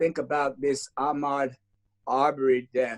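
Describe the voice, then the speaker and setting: The sound is dry and close, with no echo. A man speaks at a very slow pace. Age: 60s. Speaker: pastor and civil rights leader. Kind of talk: interview. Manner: hesitant, many fillers.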